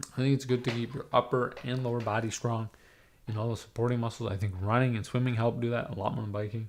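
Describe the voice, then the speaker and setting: Over a silent background in a very clean recording, a man speaks at medium pitch in a flat monotone. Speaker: livestreamer. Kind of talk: casual chat. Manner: rambling, halting with many ums.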